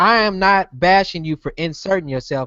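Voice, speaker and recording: A loud man speaks at a high pitch with lively intonation. His pace is moderate. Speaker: podcast host. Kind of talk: heated debate.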